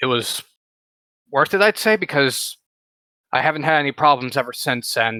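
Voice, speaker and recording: In a dry, close recording with no echo, a man speaks at a medium pitch with a bright, sharp tone. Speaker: video creator, podcast participant. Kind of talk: casual chat. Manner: fast.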